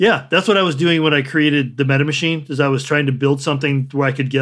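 Talking at a very fast pace, a man with a General American accent uses a fairly high pitch and fairly even intonation. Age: 60s. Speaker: artist and writer. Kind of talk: interview.

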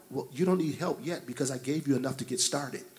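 With ordinary pitch variation, a man talks in an unremarkable speaking voice that sits fairly high for a man. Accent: American. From Detroit, Michigan. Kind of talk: panel discussion.

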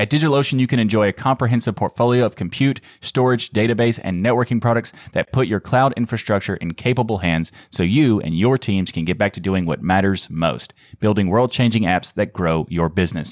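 In a very clean recording with a silent background and a dry, close sound with no echo, a man with a plain, everyday voice talks at a fairly quick pace with hardly any pauses, a fairly low pitch and ordinary pitch variation. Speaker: podcast co-host. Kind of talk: casual podcast chat.

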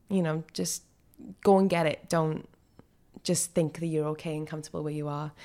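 A woman's very deep, low voice with a dark, mellow tone, flat monotone delivery and a South Wales accent, on a very clean recording with a silent background. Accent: South Wales Welsh English. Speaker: actor. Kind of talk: interview.

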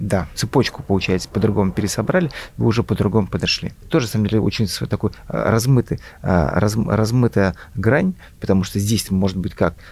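There's vocal fry in this man's fairly low-pitched voice. He speaks at a fairly quick pace. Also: ordinary pitch variation. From Russia, Volga region (Mari El). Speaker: IT entrepreneur, company founder. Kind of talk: interview. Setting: business school campus. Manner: halting, repeats words.

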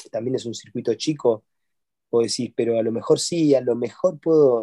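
A man with a medium pitch and a dark, mellow tone talks at a moderate pace with ordinary pitch variation. The sound is dry and close, with no echo. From Argentina, Córdoba province. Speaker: tennis coach. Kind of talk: casual chat.

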